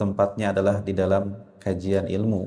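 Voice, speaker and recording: This man has a fairly low pitch and a dark, mellow tone. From West Java, Garut (Sundanese). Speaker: Islamic preacher. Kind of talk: religious lecture. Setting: prayer hall with audience.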